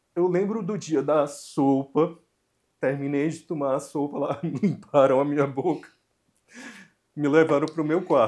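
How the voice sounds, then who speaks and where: The intonation is fairly even. It belongs to a man. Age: 40s. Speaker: cancer survivor. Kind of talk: interview testimony.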